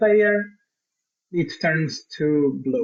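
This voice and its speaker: A man with a Portuguese accent at a very slow pace, with ordinary pitch variation. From Portugal. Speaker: software consultant. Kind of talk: tutorial. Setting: live stream.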